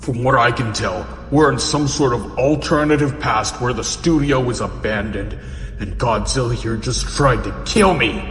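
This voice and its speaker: Amid clear background noise and a clear echo, a man does a put-on character voice at a moderate pace. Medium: audio drama. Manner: blunt.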